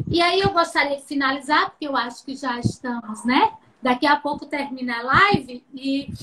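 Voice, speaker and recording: Her voice raised and projected, a woman speaks at a high pitch. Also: ordinary pitch variation, moderate pace. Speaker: professor. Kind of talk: lecture. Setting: video call.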